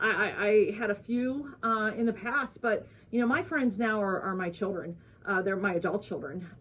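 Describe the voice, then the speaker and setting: Noticeable noise sits behind a woman's fairly high voice. Her intonation is lively. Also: moderate pace. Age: 60s. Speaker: co-host of a lifestyle channel. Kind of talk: casual chat.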